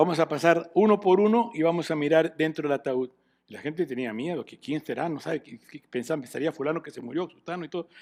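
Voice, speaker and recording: Very fast pace with ordinary pitch variation. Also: man, fairly high pitch for a man. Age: 60s. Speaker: pastor. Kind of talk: sermon.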